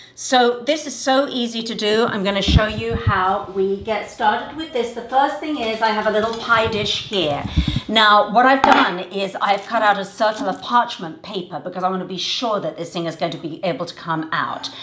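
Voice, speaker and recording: A woman talks at a moderate pace with hardly any pauses and big swings in loudness, with audible room echo and light background noise. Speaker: cooking show host. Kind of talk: tutorial. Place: kitchen.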